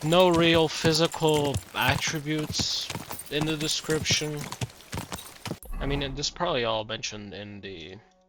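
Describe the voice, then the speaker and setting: Over noticeable background noise, a man with a fairly high pitch talks at a fairly slow pace, using lively intonation, big swings in loudness, and long, frequent pauses. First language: Slovenian. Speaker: video game streamer. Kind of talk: live gameplay commentary. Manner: halting.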